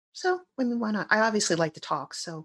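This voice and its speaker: Here is a woman speaking. Her pitch swings very widely. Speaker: guest, broadcaster and fan. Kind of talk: casual chat.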